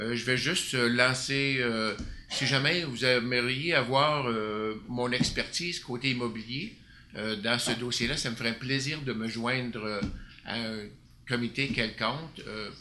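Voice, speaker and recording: Audible room echo surrounds a man who speaks at a medium pitch, fairly slowly, with fairly even intonation. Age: 60s. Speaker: city councillor. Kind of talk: council meeting report. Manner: hesitant, many fillers.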